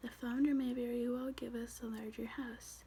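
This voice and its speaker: The speaker is soft-spoken. The pace is moderate. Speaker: ASMR content creator. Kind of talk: ASMR soft-spoken reading with word repetition. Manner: soft-spoken, relaxing.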